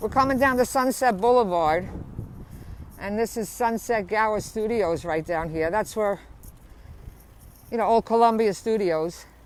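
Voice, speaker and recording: A woman speaks with long, frequent pauses. Her fairly high pitch carries lively intonation. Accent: strong New Jersey. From New Jersey, Bayonne. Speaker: vlogger. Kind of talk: casual live stream narration. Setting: outdoors riding a bicycle. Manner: casual, chatty.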